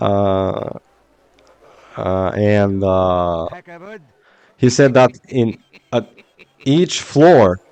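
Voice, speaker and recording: With a Slavic accent, the voice moves at a very slow pace, with long, frequent pauses and ordinary pitch variation. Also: man, fairly low pitch for a man. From Bulgaria. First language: Bulgarian. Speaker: video game streamer. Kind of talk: casual chat. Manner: halting.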